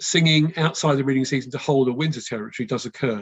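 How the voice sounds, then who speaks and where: A fairly quick pace in a West London accent. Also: man. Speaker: birdwatching expert giving a talk. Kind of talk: online talk with Q&A. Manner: hesitant, many fillers.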